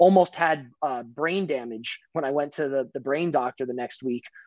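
In a quiet background, a man with a fairly high pitch and an American accent talks at a moderate pace with fairly even intonation in a plain, everyday voice. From US Northeast, New Jersey. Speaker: financial professional and martial artist. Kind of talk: casual interview chat.

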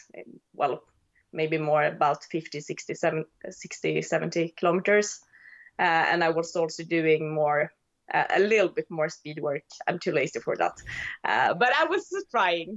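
At a fairly slow pace, a woman speaks with fairly low pitch and ordinary pitch variation. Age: 30s. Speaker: ultra runner. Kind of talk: interview. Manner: halting.

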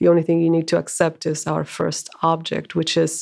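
This woman speaks at a fairly low pitch. The recording is very clean, with a silent background. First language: Spanish. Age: 40s. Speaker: bookshop manager and spiritual teacher. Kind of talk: casual interview.

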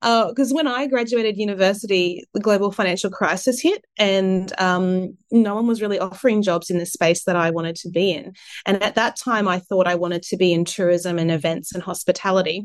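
Against a quiet background, a woman talks at a fairly quick pace and a medium pitch. She has an Australian accent and ordinary pitch variation. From Australia, Sunshine Coast, Queensland. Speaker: marketing and communications professional. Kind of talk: interview.

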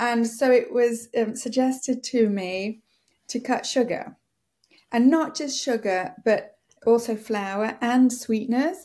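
A woman with a high pitch and a dark, mellow tone talks at a very slow pace. Her pitch variation is ordinary, and the recording is very clean with a silent background. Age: 50s. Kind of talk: casual chat.

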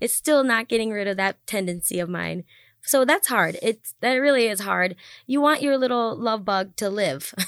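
Her voice fairly high, a woman with an ordinary speaking voice talks at a moderate pace with lively intonation, on a very clean recording with a silent background. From US Midwest, Wisconsin. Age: 30s. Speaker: singer. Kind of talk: casual chat.

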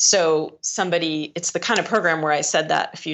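Here a woman speaks at a fairly quick pace. Her voice carries vocal fry. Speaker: author and speaker. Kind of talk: casual interview chat.

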